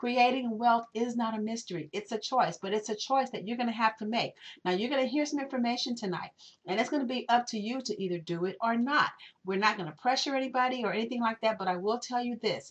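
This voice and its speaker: Animated and very fast, a woman talks at a fairly high pitch with ordinary pitch variation. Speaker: network marketing presenter. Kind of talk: webinar sales pitch. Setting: recorded webinar.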